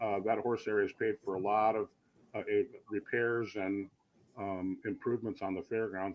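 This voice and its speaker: A man has a normal speaking voice. His pace is fairly quick. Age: 60s. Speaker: fairgrounds general manager. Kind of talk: interview.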